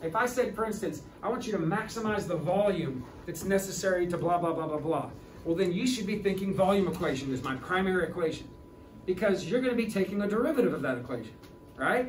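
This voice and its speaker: Audible room echo and noticeable background noise surround a man's voice. He talks at a very fast pace with a high pitch and lively intonation. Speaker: high school calculus teacher. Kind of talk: lecture. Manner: halting.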